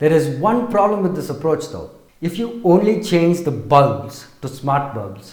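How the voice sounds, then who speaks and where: A fairly slow-paced male voice in audible room echo. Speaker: tech reviewer. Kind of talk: product review.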